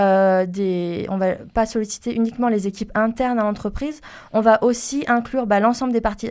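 Against a quiet background, a woman with a fairly high pitch talks at a moderate pace with fairly even intonation. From France, Toulouse. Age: 30s. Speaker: environmental consultant. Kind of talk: interview. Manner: hesitant, many fillers and repetitions.

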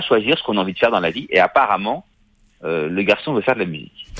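The background is quiet. A man's voice moves in very wide pitch swings. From Paris, France. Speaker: film director. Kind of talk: interview. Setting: remote line from Paris.

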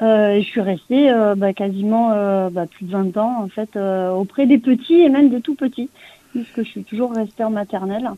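A woman with an unremarkable speaking voice, ordinary pitch variation and a fairly slow pace, in a dry, close sound with no echo. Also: fairly high pitch for a woman. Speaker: comic book writer, former schoolteacher. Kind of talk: interview.

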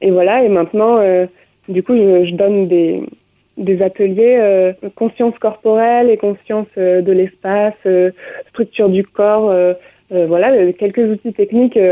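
A woman speaks at a medium pitch and a very slow pace. Her intonation stays fairly even. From France, grew up touring with a circus. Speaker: musician, violinist and dancer. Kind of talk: radio interview.

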